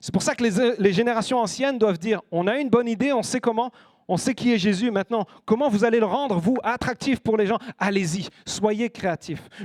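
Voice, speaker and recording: A man's high, animated voice with ordinary pitch variation, in a dry, close sound with no echo. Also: very clean recording, silent background. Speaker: guest preacher. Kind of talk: sermon. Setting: church. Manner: fast.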